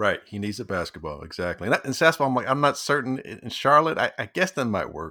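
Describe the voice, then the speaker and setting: Speaking at a very fast pace with hardly any pauses, a man at medium pitch uses very wide pitch swings, vocal fry and a bright, sharp tone on a very clean recording with a silent background. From Chicago. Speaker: sports podcast co-host. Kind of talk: casual sports chat.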